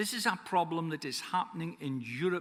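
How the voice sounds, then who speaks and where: The speaker has a Scottish accent and lively intonation. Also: man. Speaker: forester and conference speaker. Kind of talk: conference speech.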